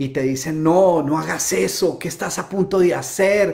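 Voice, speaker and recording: The man sounds animated, speaking fairly slowly with ordinary variation in pitch. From Colombia, Bogotá. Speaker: motivational speaker. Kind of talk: live-stream talk. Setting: home. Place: home room.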